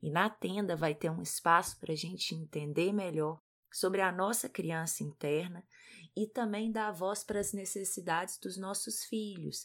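Recorded very cleanly against a silent background, a woman talks at a moderate pace with a medium pitch and ordinary pitch variation. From Brazil, Minas Gerais. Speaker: podcast co-host, parenting educator, psychologist. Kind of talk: casual podcast talk.

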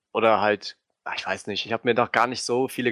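The sound is dry and close, with no echo, against a quiet background. The pace is very fast. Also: man. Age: 20s. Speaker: gaming video editor. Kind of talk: casual chat.

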